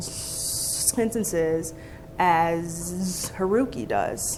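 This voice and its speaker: Noticeable noise fills the background. Over it, a woman talks very slowly. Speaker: conference speaker. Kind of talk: conference talk. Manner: stutters.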